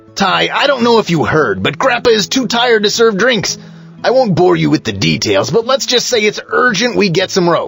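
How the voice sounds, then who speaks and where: A man's cartoonish character voice at a moderate pace, with clear music in the background. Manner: boastful, theatrical.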